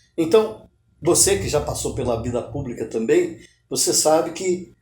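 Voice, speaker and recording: A man's dark, mellow voice at a fairly slow pace, with lively intonation and audible room echo. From Brazil, Minas Gerais. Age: 70s. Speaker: writer. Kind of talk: interview.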